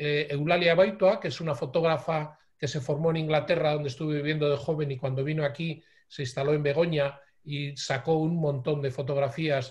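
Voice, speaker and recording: A man's voice sits at a fairly high pitch and sounds somewhat breathy. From Bilbao, Basque Country, Spain. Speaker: lecturer on photographic heritage. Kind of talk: online lecture. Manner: hesitant fillers.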